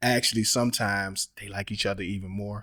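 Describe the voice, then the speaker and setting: In an ordinary speaking voice, a man with a fairly low pitch talks at a moderate pace with fairly even intonation on a very clean recording with a silent background. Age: 40s. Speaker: YouTube reaction commentator. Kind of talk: casual commentary. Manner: casual.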